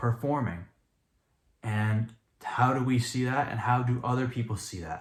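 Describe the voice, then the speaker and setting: Somewhat breathy, a man talks at a medium pitch with ordinary pitch variation. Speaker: YouTuber. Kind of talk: vlog monologue to camera. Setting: talking in front of camera.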